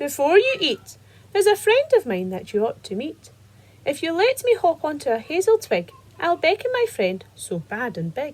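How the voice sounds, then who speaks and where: A woman uses a put-on character voice at an extremely high pitch. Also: moderate pace. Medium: read story.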